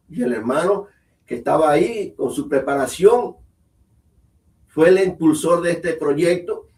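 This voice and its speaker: A man speaks in a high pitch with lively intonation. His pace is fairly slow, broken by long, frequent pauses. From Cuba, Las Tunas. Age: 70s. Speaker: Hebrew teacher. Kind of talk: interview.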